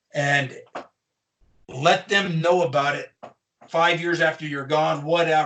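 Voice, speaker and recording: Slow-paced with long, frequent pauses, a man speaks in a fairly high pitch. His tone is bright and sharp, and his intonation fairly even. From eastern Colorado, US. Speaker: podcast host, author. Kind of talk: casual chat.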